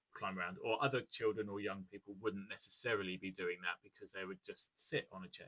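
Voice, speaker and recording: A man speaks with a British accent. He keeps a fairly quick pace. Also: dry, close sound with no echo. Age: 30s. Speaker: ADHD coach and content creator. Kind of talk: educational talk to camera. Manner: fast; hesitant, many fillers.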